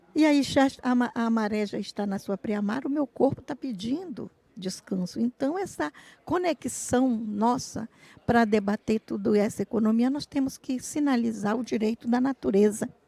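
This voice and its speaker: Dark, mellow tone at a moderate pace, ordinary pitch variation, and a dry, close sound with no echo. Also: woman, fairly high pitch for a woman. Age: 60s. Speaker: traditional fisherwoman and activist. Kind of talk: panel talk.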